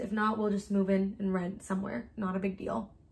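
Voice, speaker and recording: The woman speaks at a fairly quick pace and a medium pitch. Her voice is somewhat breathy. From US, Mexican family. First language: Spanish. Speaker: YouTuber. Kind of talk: casual chat. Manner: animated.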